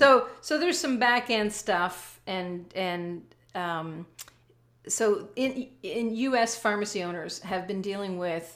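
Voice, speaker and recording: Against a very clean, silent background, a woman with a Canadian accent speaks in a plain, everyday voice at medium pitch with ordinary pitch variation. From Canada. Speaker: business coach and author. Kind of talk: casual interview.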